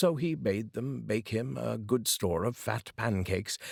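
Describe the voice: Fairly low-pitched male voice with vocal fry and a slightly husky edge, big pitch swings and a fairly slow pace, on a very clean recording with a silent background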